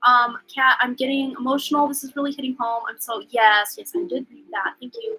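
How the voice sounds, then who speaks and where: A woman projects a raised, high-pitched voice at a fairly quick pace, with hardly any pauses. Her loudness swings widely. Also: lively intonation. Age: 30s. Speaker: tarot reader and livestream host. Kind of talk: live stream chat reading viewer comments. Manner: casual, filler-heavy.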